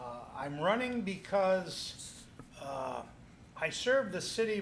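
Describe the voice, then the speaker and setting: A man with a Midwestern US accent, in a room with audible echo. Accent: US Midwest. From Muscatine, Iowa, US Midwest. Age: 70s. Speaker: city council candidate. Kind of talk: TV interview.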